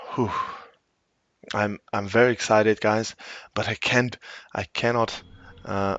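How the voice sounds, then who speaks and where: A man speaks quietly at a fairly low pitch in a monotone, flat intonation. His pace is fairly slow, with long, frequent pauses. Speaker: esports caster. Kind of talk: live commentary. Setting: home, late at night. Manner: speaking quietly; halting, repetitive.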